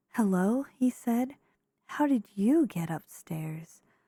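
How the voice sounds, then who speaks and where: The voice is whispering. It is soft-spoken. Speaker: ASMR creator. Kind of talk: children's picture book read aloud. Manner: soft-spoken whispers.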